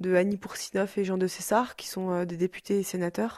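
Her voice dark and mellow, a woman speaks at medium pitch in a monotone, flat intonation. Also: very clean recording, silent background. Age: 20s. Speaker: daughter of an electro-sensitive woman. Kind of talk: interview testimony. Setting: rural hut below a mountain cave.

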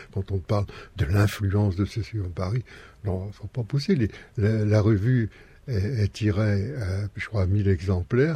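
Against a quiet background, a man speaks fairly slowly at a fairly low pitch, his tone dark and mellow and somewhat breathy, with ordinary pitch variation. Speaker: former activist, bulletin publisher. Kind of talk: casual interview.

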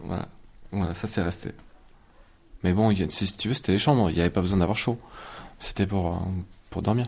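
On a very clean recording with a silent background, a man with a very deep, low pitch speaks at a fairly quick pace with ordinary pitch variation and long, frequent pauses. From Ariège, southern France. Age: 30s. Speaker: builder. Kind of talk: testimony.

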